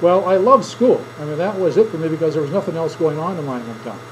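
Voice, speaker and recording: Talking at a very fast pace, a man with an Upper Midwest accent uses a high pitch and lively intonation over noticeable background noise. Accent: Upper Midwest American. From southern Minnesota. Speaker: teacher. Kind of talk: classroom speech demonstration. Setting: classroom with audience. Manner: conversational storytelling.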